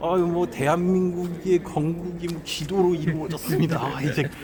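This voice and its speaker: Monotone, flat delivery from a man with a high-pitched voice, moderate pace, noticeable background noise. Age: 20s. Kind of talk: interview answer.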